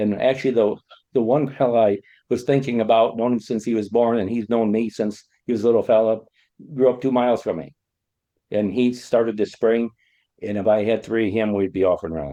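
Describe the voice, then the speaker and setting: Here a man with an American accent and a dark, mellow tone speaks at medium pitch, fairly quickly, with fairly even intonation. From US Midwest (Illinois). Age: 60s. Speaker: farmer. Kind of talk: podcast interview. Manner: halting, many fillers.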